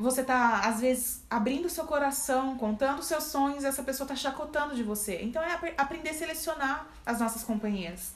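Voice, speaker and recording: There is audible room echo as a woman speaks at a high pitch. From Brazil, Campinas (São Paulo). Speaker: church member guest. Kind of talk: casual faith discussion.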